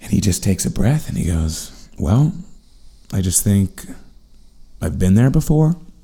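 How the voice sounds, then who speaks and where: With an American accent, the voice has a dark, mellow tone and vocal fry, moving through very wide pitch swings at a fairly slow pace with long, frequent pauses. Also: man, fairly low pitch for a man. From New York City, Manhattan. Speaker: comedian. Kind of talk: casual chat.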